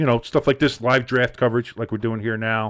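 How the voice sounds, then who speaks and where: A man speaks in a medium pitch with a New Jersey accent. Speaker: sports podcast host. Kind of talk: casual chat. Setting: live stream.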